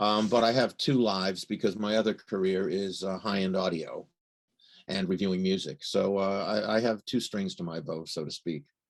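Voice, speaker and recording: A man with an unremarkable speaking voice talks at a moderate pace and a fairly low pitch. His intonation is fairly even, and the background is quiet. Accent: American. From United States. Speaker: watch journalist. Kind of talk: interview.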